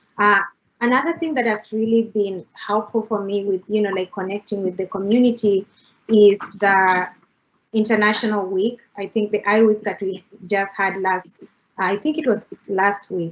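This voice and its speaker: A woman with an East African accent speaks at a moderate pace and medium pitch, with fairly even intonation. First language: Swahili. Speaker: international graduate student panelist. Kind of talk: panel discussion. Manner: frequent fillers (uh, you know, like).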